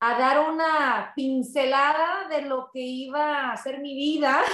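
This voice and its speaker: At a very slow pace, a woman speaks in a high pitch with lively intonation. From Southern California (San Pedro, Los Angeles), Mexican parents. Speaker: radio host. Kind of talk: interview.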